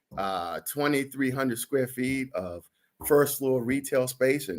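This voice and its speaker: A man talks at a fairly slow pace in a robotic voice. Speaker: real estate broker and show co-host. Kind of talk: casual chat. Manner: puts on a formal radio announcer voice for listings; sounded robotic.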